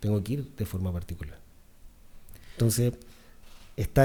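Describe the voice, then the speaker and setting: At a fairly quick pace, a man with a Chilean accent speaks in a somewhat breathy voice, with a dark, mellow tone and ordinary pitch variation. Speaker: dentist. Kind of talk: podcast interview.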